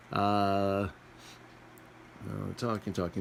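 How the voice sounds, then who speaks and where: Speaking at a fairly slow pace, a man keeps his pitch fairly low. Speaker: amateur storyteller. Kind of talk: improvised comic manga summary. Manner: casual, playful.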